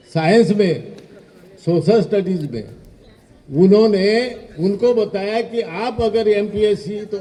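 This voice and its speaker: Noticeable background noise sits behind a man's voice. He speaks high in pitch with ordinary pitch variation. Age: 70s. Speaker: retired teacher. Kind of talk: speech at alumni event.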